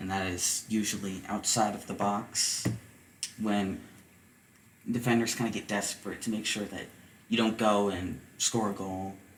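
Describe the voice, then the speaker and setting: A man with a fairly low pitch speaks at a moderate pace in a flat monotone. He pauses long and often, and the room echo is audible. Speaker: podcast co-host, soccer fan son. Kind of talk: casual chat. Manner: soft-spoken.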